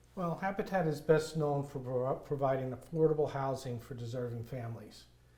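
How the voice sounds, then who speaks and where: In an American accent, a man speaks at a moderate pace with medium pitch, fairly even intonation, a dark, mellow tone and a somewhat breathy quality. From New York. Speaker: nonprofit construction volunteer. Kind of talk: interview conversation.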